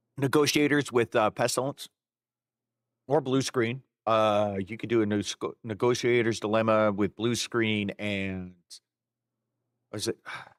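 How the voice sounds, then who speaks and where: A man's medium-pitched voice at a fairly slow pace with ordinary pitch variation and long, frequent pauses, in a dry, close sound with no echo on a very clean recording with a silent background. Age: 40s. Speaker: video game streamer. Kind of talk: live stream chat. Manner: casual, hesitant with fillers.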